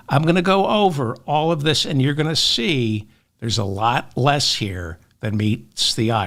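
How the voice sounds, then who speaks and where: On a very clean recording with a silent background, a man speaks at a fairly slow pace and a medium pitch, with very wide pitch swings. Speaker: political commentator. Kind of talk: political commentary monologue. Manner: slow, careful pacing.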